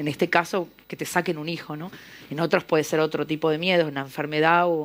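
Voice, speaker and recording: A woman talks with an Argentine accent. The recording is very clean, with a silent background. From Argentina, Buenos Aires. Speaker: novelist. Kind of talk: panel discussion. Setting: literary festival panel in a library.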